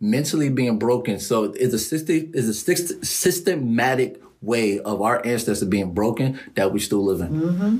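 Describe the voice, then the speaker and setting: Using an ordinary speaking voice, a man talks at a moderate pace and medium pitch, with lively intonation, very even loudness and hardly any pauses. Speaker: podcast host. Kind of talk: casual interview chat.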